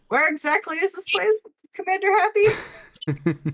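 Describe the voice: A put-on character voice squeaks at an extremely high pitch. The pace is moderate.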